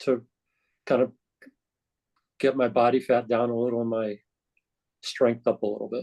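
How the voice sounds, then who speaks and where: A man speaks at a moderate pace with a dark, mellow tone and medium pitch. His intonation is monotone and flat. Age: 60s. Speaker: call participant, fitness program user. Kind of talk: question in group call.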